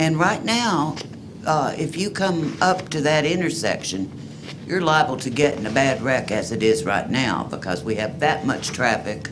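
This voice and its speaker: Over music in the background and audible room echo, a man with an American accent talks at a moderate pace with very wide pitch swings. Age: 70s. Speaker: resident speaking at public comment. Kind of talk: public comment. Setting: city commission meeting.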